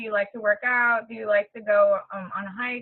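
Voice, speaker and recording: A woman's plain, everyday voice at a moderate pace, with ordinary pitch variation. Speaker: fitness business coach. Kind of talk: webinar training talk. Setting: webinar call. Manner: casual, filler-heavy.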